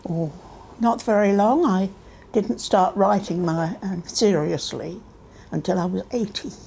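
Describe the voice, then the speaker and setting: A woman speaks at a fairly slow pace in a dark, mellow tone with vocal fry. Her pitch is medium with ordinary variation, in a very clean recording with a silent background. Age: 80s+. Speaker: children's author. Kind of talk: interview.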